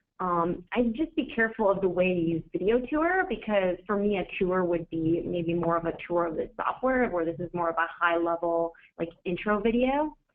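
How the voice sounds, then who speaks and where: A woman talks in an unremarkable speaking voice at medium pitch and a moderate pace. She has ordinary pitch variation and hardly any pauses. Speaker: marketing director presenting a webinar. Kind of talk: live webinar critique. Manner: casual, with many fillers.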